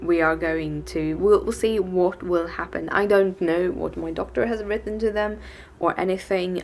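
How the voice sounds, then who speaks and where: A woman speaks with a Swedish accent. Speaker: vlogger. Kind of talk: casual vlog. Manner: halting.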